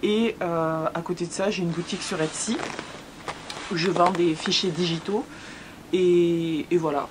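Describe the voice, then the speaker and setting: A woman speaks with a southern French accent at a fairly slow pace, with long, frequent pauses and noticeable background noise. Her fairly low voice keeps a fairly even intonation. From southern France, Hérault. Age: 20s. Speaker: YouTuber, expat vlogger. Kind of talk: casual Q&A chat. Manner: hesitant, many fillers.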